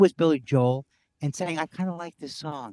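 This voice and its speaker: In an American accent, a man speaks at a moderate pace with ordinary pitch variation and a dark, mellow tone. The sound is dry and close with no echo. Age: 60s. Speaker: comedian. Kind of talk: casual chat. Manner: halting.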